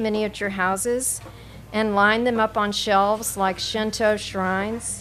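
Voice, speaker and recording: The speaker here is a woman. Her speech carries an American accent. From North Carolina. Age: old. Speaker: poet. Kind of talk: poetry reading; casual introduction. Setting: coffee shop with audience. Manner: halting, many fillers.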